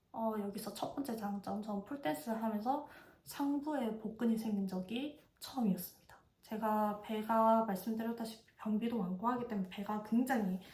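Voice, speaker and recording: Over noticeable background noise, a woman with a fairly high voice speaks at a moderate pace with ordinary pitch variation. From South Korea, Busan (Gyeongsang). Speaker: vlogger. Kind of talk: casual review monologue.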